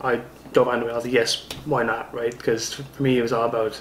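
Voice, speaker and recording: A man talks at a fairly quick pace in a monotone, flat intonation over noticeable background noise. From Newfoundland, Canada. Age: 20s. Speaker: pro wrestler. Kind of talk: interview. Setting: studio apartment. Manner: halting.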